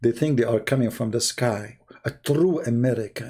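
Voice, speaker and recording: A man speaks at a fairly slow pace in a dark, mellow tone. His voice is somewhat breathy. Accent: Arabic. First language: Arabic. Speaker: religious debater. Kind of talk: live stream commentary. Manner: animated.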